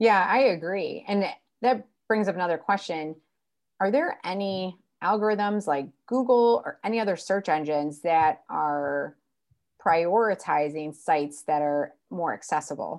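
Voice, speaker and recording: Here is a normal speaking voice from a woman, medium in pitch. She uses lively intonation at a fairly slow pace. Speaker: podcast host. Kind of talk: casual interview.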